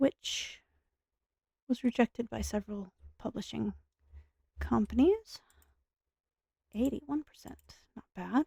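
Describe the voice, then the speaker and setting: A soft-spoken woman talks fairly slowly, with long, frequent pauses and big swings in loudness. The sound is dry and close, with no echo. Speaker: gaming streamer. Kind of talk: casual gameplay commentary.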